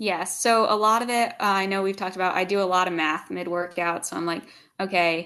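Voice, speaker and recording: A bright, sharp tone from a woman with an American accent, medium in pitch, at a fairly quick pace and with fairly even intonation. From US Northeast, outside Philadelphia. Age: young. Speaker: CrossFit athlete. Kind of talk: podcast interview.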